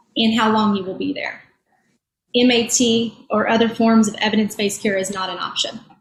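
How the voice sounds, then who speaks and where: Somewhat breathy and fairly high in pitch, a woman speaks at a moderate pace with monotone, flat intonation. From rural Eastern Kentucky. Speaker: physician and addiction policy advocate. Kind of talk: panel discussion, personal testimony. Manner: halting, with repetitions.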